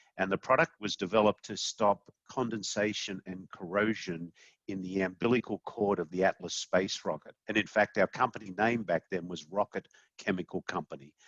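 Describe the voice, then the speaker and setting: At a fairly quick pace, a man with an Australian accent speaks in a fairly low pitch with ordinary pitch variation. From Australia, Sydney. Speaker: company CEO. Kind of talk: podcast interview.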